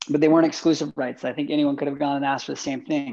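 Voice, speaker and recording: Against a quiet background, a man with a Western US accent speaks in a fairly high voice that carries a dark, mellow tone. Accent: American, Western US. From Utah, US. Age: 30s. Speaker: filmmaker. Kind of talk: casual interview.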